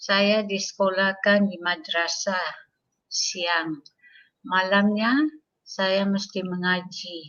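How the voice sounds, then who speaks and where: At a very slow pace, a woman talks in a medium pitch with ordinary pitch variation. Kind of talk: testimony. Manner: halting, many fillers.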